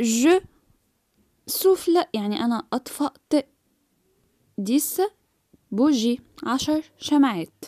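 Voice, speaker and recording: Speaking very slowly with long, frequent pauses, a woman with an Egyptian accent uses a high pitch, lively intonation and a dark, mellow tone. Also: dry, close sound with no echo. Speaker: French teacher. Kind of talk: tutorial.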